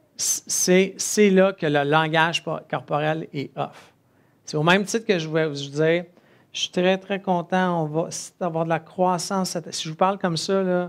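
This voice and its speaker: The speaker has a Quebec accent and fairly even intonation. The recording is very clean, with a silent background. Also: man, high pitch for a man, fairly slow pace. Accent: Québécois French. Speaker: entrepreneur and conference speaker. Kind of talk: conference talk. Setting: stage with audience.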